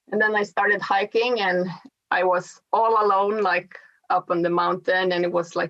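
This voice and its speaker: Talking at a moderate pace and medium pitch, a woman speaks in a Swedish accent. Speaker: long-distance hiker. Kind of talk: interview.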